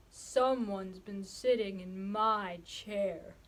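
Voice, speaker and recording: A woman puts on a cartoonish character voice at medium pitch. She speaks at a very slow pace. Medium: puppet.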